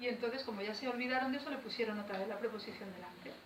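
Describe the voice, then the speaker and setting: A woman is heard over noticeable background noise, with audible echo from the room. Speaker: poet. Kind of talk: talk to school students. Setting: school visit with students. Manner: conversational with hesitations.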